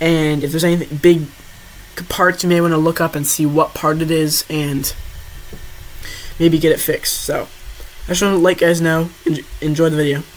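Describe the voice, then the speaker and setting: Long, frequent pauses break up the speech, with noticeable background noise behind it. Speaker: DIY car maintenance video maker. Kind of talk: tutorial. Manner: fast; halting.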